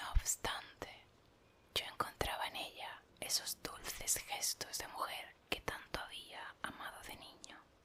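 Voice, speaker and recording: Someone whispers in a calm tone at a very slow pace. Noticeable background noise is present. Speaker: ASMR reader / content creator. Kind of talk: whispered audiobook-style reading of a literary text (ASMR). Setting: rain sounds in a car as background. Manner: whispered, calm, soft.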